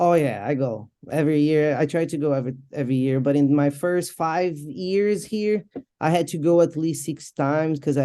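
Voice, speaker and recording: Someone with a Portuguese accent speaks at a moderate pace with ordinary pitch variation. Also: woman. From Brazil. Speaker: MMA fighter and boxer. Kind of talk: interview.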